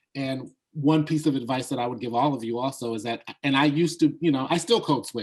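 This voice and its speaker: The speaker is a man with a fairly high pitch. He talks at a very fast pace. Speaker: college instructor and moderator. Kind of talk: panel discussion.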